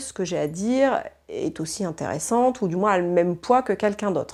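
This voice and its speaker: Moderate pace from a woman at medium pitch, ordinary pitch variation, and a very clean recording with a silent background. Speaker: interviewee in documentary. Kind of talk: interview. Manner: loud.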